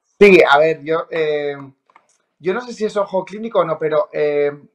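A man with a normal speaking voice, fairly high pitch and ordinary pitch variation. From Spain, La Rioja. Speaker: TV reporter and presenter. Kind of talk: casual interview chat.

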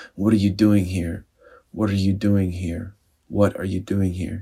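A man's somewhat breathy, fairly low voice at a moderate pace, monotone with flat intonation. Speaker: spiritual speaker and storyteller. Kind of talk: dramatic narration of a story, then a brief personal reflection.

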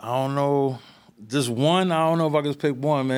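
Someone speaks with a New York accent at a fairly quick pace and with fairly even intonation. The recording is very clean, with a silent background. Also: man. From New York, the Bronx. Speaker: music producer. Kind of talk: casual chat.

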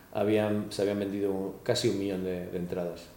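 Over noticeable background noise and audible room echo, a man with a fairly low voice speaks at a fairly slow pace. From Spain, raised in Australia from age 10. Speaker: comedian. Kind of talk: casual interview chat.

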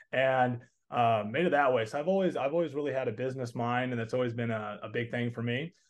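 Talking at a very fast pace, a man with a slight Southern US accent uses a medium pitch and ordinary pitch variation. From Texas. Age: 20s. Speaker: entrepreneur and coaching student. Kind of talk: casual interview. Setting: call.

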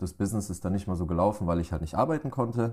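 A man's very deep, low voice, dark and mellow in tone, in a very clean recording with a silent background. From Germany, Pforzheim. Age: 20s. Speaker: entrepreneur. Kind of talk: interview.

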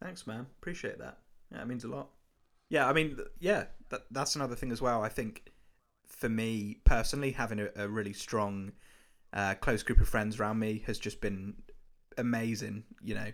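An unremarkable speaking voice from a man at medium pitch, moderate pace and ordinary pitch variation, with big swings in loudness on a very clean recording with a silent background. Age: 20s. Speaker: videographer. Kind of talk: casual chat. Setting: call.

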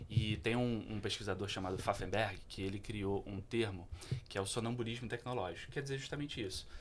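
A man talks at a fairly quick pace in a fairly low pitch, his voice somewhat breathy. His intonation is fairly even, and audible room echo is present. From Petrópolis, Rio de Janeiro state, Brazil. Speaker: social entrepreneur. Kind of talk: interview.

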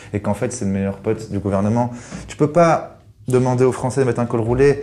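Medium in pitch, a man talks at a moderate pace. His tone is dark and mellow. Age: 30s. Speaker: communications agency account director. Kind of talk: interview.

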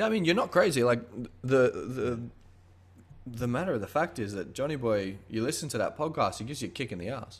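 In a very clean recording with a silent background, a man talks at a fairly quick pace and medium pitch, his pitch swinging very widely. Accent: Australian. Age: 20s. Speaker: podcast host. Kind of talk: casual chat.

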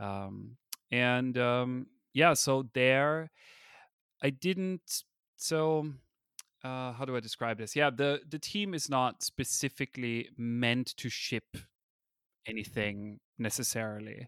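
With an Austrian accent, a man talks at a very slow pace with long, frequent pauses, his medium pitch showing ordinary variation. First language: German. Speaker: user interface designer. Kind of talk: interview. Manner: hesitant, many fillers.

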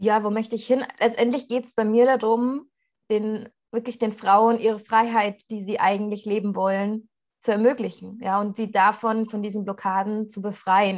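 A normal speaking voice from a woman, fairly high in pitch, with fairly even intonation at a moderate pace. The background is quiet. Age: 20s. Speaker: coach for women. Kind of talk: casual interview chat.

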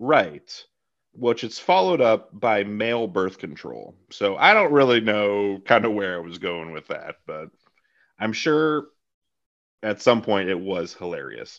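A man with an ordinary speaking voice, fairly low in pitch, with lively intonation, big swings in loudness and a fairly slow pace, against a quiet background. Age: 30s. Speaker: podcast host. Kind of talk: casual interview chat.

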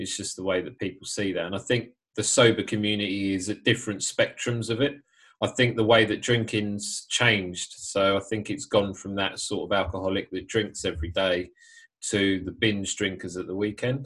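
A man's fairly low voice with a British accent, moderate pace and fairly even intonation, on a very clean recording with a silent background. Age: 30s. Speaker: podcast host, sober life coach. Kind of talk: casual interview.

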